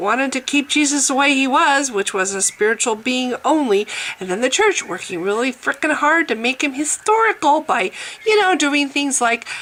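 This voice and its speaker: The delivery is animated, with very wide pitch swings at a moderate pace. Noticeable background noise runs underneath. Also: woman. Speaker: atheist video blogger. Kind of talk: casual monologue vlog. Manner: animated, sarcastic.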